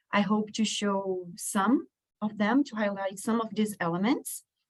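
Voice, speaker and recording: A woman's fairly high, somewhat breathy voice at a fairly slow pace, with fairly even intonation. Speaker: researcher. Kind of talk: conference presentation. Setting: stage with audience.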